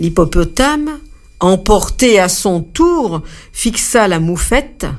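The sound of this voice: Reading in an unforced voice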